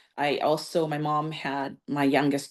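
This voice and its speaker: A woman with a Californian accent speaks in a very deep, low voice. The background is quiet. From California, Santa Barbara (Lao refugee family). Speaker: banking executive and community leader. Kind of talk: podcast interview, personal story. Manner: conversational with fillers and self-corrections.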